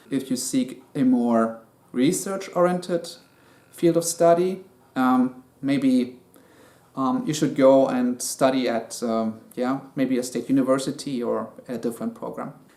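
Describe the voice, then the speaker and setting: At a fairly slow pace, a man speaks with a medium pitch, a dark, mellow tone and ordinary pitch variation. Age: 30s. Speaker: student. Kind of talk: personal explainer. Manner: hesitant, many fillers.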